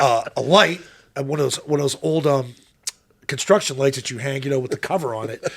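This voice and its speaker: A man's fairly high voice in a Pittsburgh accent, fairly quick, with ordinary pitch variation. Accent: Pittsburgh twang. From Pittsburgh, Pennsylvania. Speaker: former football quarterback and radio analyst. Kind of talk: casual chat. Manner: interjects quietly.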